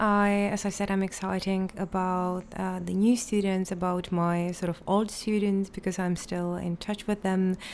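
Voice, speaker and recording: A fairly slow voice in a Czech accent, in a very clean recording with a silent background. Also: woman. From Czech Republic. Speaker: literature lecturer and school director. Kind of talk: interview.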